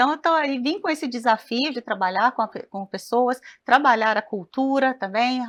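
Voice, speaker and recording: In a Goiás accent, a woman with a high pitch talks at a moderate pace with ordinary pitch variation, in a dry, close sound with no echo against a quiet background. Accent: Goiás accent, a bit like Minas Gerais. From Goiás, Brazil (Goiânia). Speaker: cooperative communications and people manager. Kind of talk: TV talk show interview.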